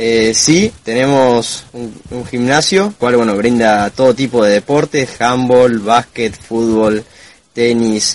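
A man speaks at a very slow pace, medium in pitch, with ordinary pitch variation. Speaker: veterinary student. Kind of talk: interview.

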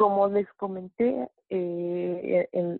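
A woman's voice, fairly low in pitch. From Mexico City. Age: 40s. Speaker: network marketing distributor. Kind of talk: testimony and sales pitch. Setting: phone call.

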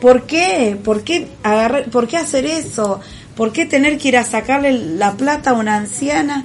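Someone speaks in a Rioplatense accent over noticeable background noise. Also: woman, high pitch for a woman, lively intonation. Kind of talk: casual chat.

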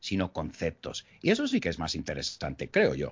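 A man is speaking. His voice has vocal fry. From United States. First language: English (speaking Spanish). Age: 40s. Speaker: English teacher. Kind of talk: casual interview.

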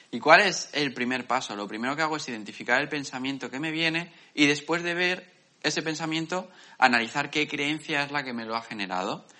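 A man speaks at a fairly quick pace in an ordinary speaking voice. His pitch sits fairly high and moves with ordinary variation. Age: 20s. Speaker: podcast co-host. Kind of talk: casual chat.

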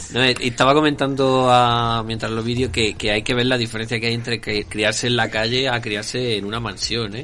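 Over noticeable background noise, a man talks at a fairly quick pace with hardly any pauses. His medium-pitched voice stays monotone and flat. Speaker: podcast co-host. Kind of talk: casual chat.

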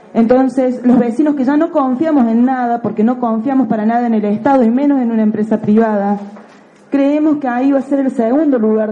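A woman's high voice, fairly quick, with ordinary pitch variation and noticeable background noise. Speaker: teacher and community activist. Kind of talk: public testimony at legislative hearing. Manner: emphatic.

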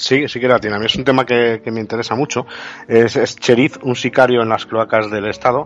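A man talks at a fairly quick pace. He has an ordinary speaking voice at medium pitch. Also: fairly even intonation. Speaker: radio co-host, cybersecurity specialist. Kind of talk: radio talk show.

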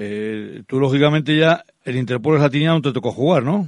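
In a plain, everyday voice, a man with a fairly high pitch talks at a moderate pace with lively intonation. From Basque Country (Álava, La Guardia). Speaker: radio sports host. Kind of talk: radio interview.

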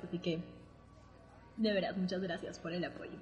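Pitch varies in an ordinary way here. There is a somewhat breathy edge to the voice. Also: woman. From Peru, Arequipa. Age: 20s. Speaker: podcast host, architect. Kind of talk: casual chat. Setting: remote recording from separate locations.

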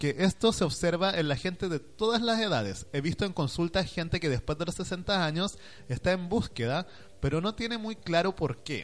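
With a Chilean accent, a man speaks at a high pitch and moderate pace with ordinary pitch variation against a quiet background. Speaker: online radio co-host. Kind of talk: casual chat.

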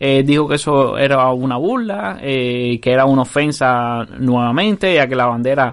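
A man talks at a fairly slow pace with a normal speaking voice at medium pitch. The background is quiet. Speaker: podcast host. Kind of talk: casual chat.

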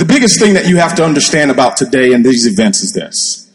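Talking at a fairly quick pace, a man uses a fairly high pitch with very wide pitch swings. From Nigeria and US. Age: 30s. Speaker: network marketing entrepreneur. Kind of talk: panel discussion on stage. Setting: stage with audience.

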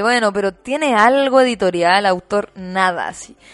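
At a moderate pace, a woman speaks in a normal speaking voice at a medium pitch. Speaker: podcast co-host. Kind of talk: casual chat.

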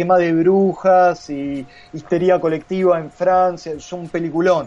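A man's high, dark, mellow voice at a very slow pace with a Rioplatense accent. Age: 30s. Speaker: comics artist and illustrator. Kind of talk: casual chat.

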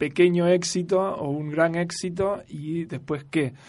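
Ordinary pitch variation in a man's high-pitched voice. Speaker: radio host and university lecturer. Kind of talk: casual chat.

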